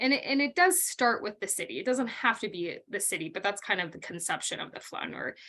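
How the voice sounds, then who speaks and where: A woman with a North Dakota accent speaks in a bright, sharp tone with lively intonation against a quiet background. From North Dakota, US. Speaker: college literature instructor. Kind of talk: recorded lecture. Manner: conversational with frequent um fillers.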